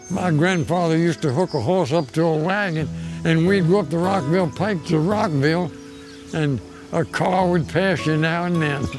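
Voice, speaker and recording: Music plays in the background as a man with an American accent speaks at a moderate pace. His pitch is fairly high, with ordinary variation. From Maryland, USA. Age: 80s+. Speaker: farmer. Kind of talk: interview answer.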